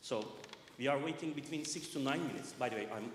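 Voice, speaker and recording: Male speech with ordinary pitch movement, a clear room echo and noticeable noise in the background. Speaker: resident speaking at council meeting. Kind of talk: public comment read from notes. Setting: public meeting in church hall.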